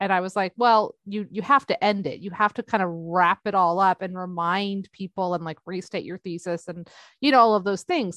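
A woman speaks at a medium pitch. She leaves hardly any pauses. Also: ordinary pitch variation, moderate pace. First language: not English. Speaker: podcast host. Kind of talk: casual chat. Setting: video call.

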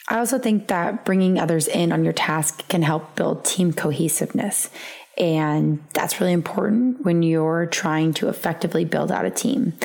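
A woman with a fairly low pitch talks at a moderate pace with ordinary pitch variation over noticeable background noise. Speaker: podcast co-host. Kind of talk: podcast monologue on leadership.

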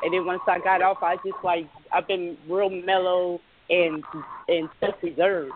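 The speaker talks at a moderate pace against noticeable background noise. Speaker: caller. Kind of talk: casual chat. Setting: phone call. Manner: halting.

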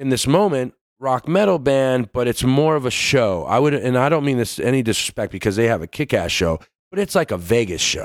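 The voice moves at a fairly quick pace with very wide pitch swings and very even loudness. The sound is dry and close with no echo, on a very clean recording with a silent background. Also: man, medium pitch for a man. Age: 40s. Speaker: metal band vocalist. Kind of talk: casual chat.

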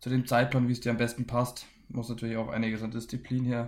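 At a very fast pace, a man talks in a monotone, flat delivery at medium pitch. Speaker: professional ice hockey player. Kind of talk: interview.

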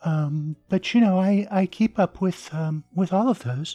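In a very clean recording with a silent background, a woman with a dark, mellow tone speaks somewhat breathily at a fairly slow pace. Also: dry, close sound with no echo. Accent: American. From southern Arizona, US. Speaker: author. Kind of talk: interview.

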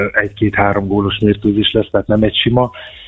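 A man's fairly low, monotone, flat voice at a fairly quick pace, with music in the background. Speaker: former handball player, national team. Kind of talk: radio phone interview. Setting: phone call.

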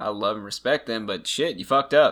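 A man's medium-pitched voice, fairly even in intonation, at a very fast pace. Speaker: true crime podcast co-host. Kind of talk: casual podcast chat. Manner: casual, joking, sarcastic.

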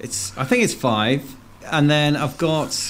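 A man's voice with ordinary pitch variation. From English West Midlands, near Worcester. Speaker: blues rock musician. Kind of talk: casual radio interview.

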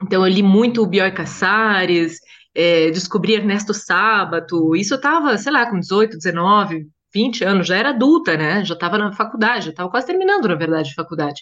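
A normal speaking voice carries lively intonation. The pace is fairly quick. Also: woman, medium pitch for a woman. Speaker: translator and journalist. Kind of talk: casual interview chat.

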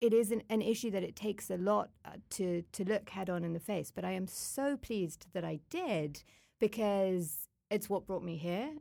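This is a plain, everyday voice at a fairly slow pace. Its pitch varies in an ordinary way. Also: woman. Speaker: climate hub coordinator, human rights worker. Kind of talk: casual interview conversation.

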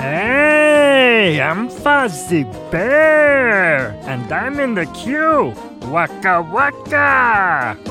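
A female-sounding put-on character voice at medium pitch, very slow, with clear music in the background. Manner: goofy, cheerful.

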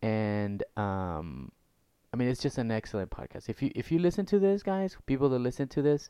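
The speaker talks at a moderate pace, with very wide pitch swings. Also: man. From Guatemala. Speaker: podcast host. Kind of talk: casual interview.

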